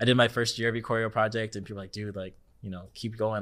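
A man speaks very fast in an American accent, his pitch fairly low and his intonation flat and monotone. The recording is very clean, with a silent background. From California. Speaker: dance choreographer. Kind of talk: casual chat.

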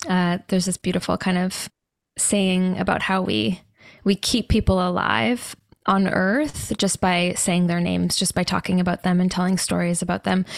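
An unremarkable speaking voice with a Canadian accent, ordinary pitch variation and very even loudness, dry and close with no echo, on a very clean recording with a silent background. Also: woman, medium pitch for a woman, moderate pace. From Canada. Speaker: mushroom supplement company founder, holistic nutritionist. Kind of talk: casual interview.

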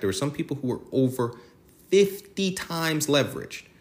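A man's voice at a moderate pace, full of very wide pitch swings. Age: 30s. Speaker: podcast host, hedge fund trader. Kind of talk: solo monologue podcast. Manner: halting, with frequent fillers and self-corrections.

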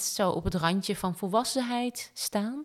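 A woman's ordinary speaking voice at a fairly slow pace, with ordinary pitch variation. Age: 30s. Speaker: podcast co-host. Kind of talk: casual chat.

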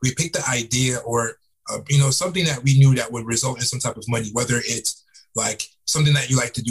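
With an American accent, a somewhat breathy man speaks at a very fast pace in a medium pitch with fairly even intonation. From South Florida, Fort Lauderdale; Jamaican parents. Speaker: entrepreneur and author. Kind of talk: podcast interview. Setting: call.

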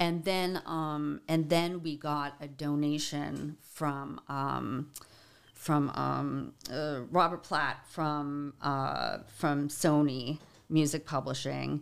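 In a Boston accent, a woman with a very deep, low pitch speaks very slowly in a monotone, flat intonation. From Boston, Dorchester. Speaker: musician and songwriter advocate. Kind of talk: casual interview.

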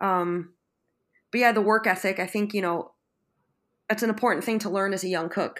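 Speaking in a Western New York accent, a woman has a medium-pitched voice and fairly even intonation at a fairly quick pace. The recording is very clean, with a silent background. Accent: Western New York American. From Buffalo, New York. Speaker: chef. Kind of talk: interview, casual chat.

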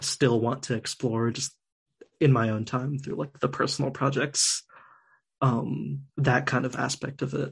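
A man with an American accent at a medium pitch with vocal fry, a fairly slow pace, fairly even intonation, long, frequent pauses and a quiet background. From US Northeast. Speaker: designer. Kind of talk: casual chat.

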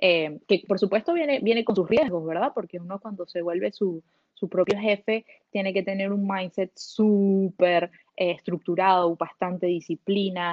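A woman speaks in a plain, everyday voice at a medium pitch. Her pace is moderate and her pitch variation ordinary. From Venezuela. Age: 30s. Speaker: solo traveler and entrepreneur. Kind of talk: interview.

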